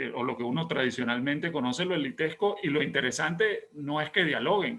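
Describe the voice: Fairly high-pitched and fairly bright in tone, a man talks at a fairly quick pace with vocal fry. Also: ordinary pitch variation.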